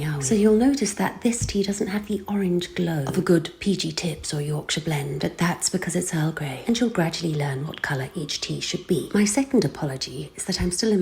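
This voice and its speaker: A British accent at a fairly quick pace. Noticeable background noise runs underneath. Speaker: voice-over artist. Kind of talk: humorous tutorial narration. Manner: dry, tongue-in-cheek.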